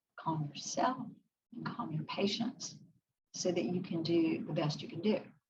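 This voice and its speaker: Audible room echo surrounds a woman's somewhat breathy voice. She speaks at a fairly slow pace and a fairly low pitch. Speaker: psychologist. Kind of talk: lecture.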